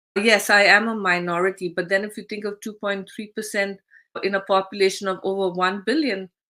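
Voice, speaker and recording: A woman's medium-pitched voice has a bright, sharp tone and fairly even intonation at a moderate pace. The recording is very clean, with a silent background. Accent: Indian. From India. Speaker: expat coach and platform founder. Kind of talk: casual talk to camera.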